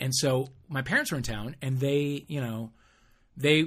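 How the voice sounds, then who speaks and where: A man with an American accent speaks at a fairly high pitch, somewhat breathy, with ordinary pitch variation. The recording is very clean, with a silent background. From US Midwest, St. Louis area. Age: 50s. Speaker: podcast co-host. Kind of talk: casual chat.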